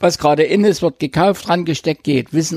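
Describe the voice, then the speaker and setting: This man speaks at a fairly high pitch with vocal fry, and the sound is dry and close with no echo. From East Germany. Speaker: musician and event technician. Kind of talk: casual interview. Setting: at his home. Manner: halting.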